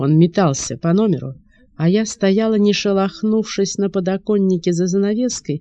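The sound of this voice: The voice is an unforced reading voice. It reads through the passage that way.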